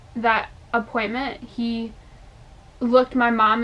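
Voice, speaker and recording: A woman with a New York accent speaks at a fairly high pitch. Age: 20s. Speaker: lifestyle and health advocacy YouTuber. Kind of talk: casual vlog storytelling. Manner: animated.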